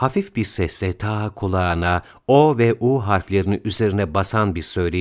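An unforced reading voice carries the words.

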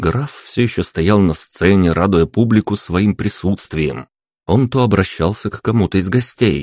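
Quiet background, with a natural reading voice on top

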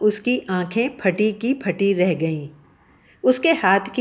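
The speaker reads in an unforced reading voice.

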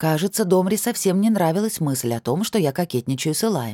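Lively intonation carries through an unforced reading voice.

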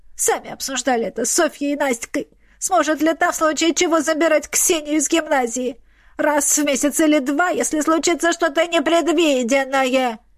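A woman speaks in a put-on character voice. Her pitch sits high. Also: moderate pace. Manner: mocking, mimicking his words.

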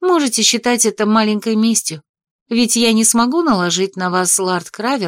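The background is quiet, and an unforced reading voice shows ordinary pitch variation.

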